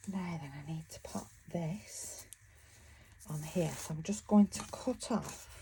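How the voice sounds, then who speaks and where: This woman talks fairly slowly in a British accent. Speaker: craft vlogger. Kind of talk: casual tutorial. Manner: mumbling; chatty, halting.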